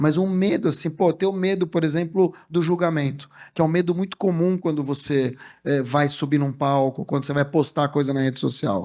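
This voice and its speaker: An animated tone at a moderate pace, with ordinary pitch variation over a quiet background. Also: man. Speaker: communication strategist and speaker. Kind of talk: motivational talk.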